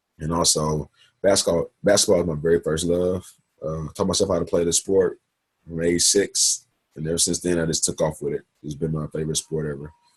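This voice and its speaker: A man speaks at a fairly quick pace in a very deep, low voice that is somewhat breathy. His intonation stays flat and monotone, and the sound is dry and close with no echo. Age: 20s. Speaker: university student. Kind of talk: class presentation. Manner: fast.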